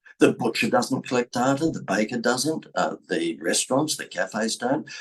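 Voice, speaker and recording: With an Australian accent, a medium-pitched man speaks at a moderate pace with lively intonation and vocal fry. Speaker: business coach and speaker. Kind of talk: marketing talk to camera. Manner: animated.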